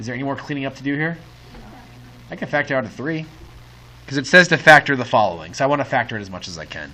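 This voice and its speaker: A man with a medium-pitched voice and vocal fry talks at a very fast pace, broken by long, frequent pauses. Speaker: high school math teacher. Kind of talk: classroom lecture. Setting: classroom with students. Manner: animated.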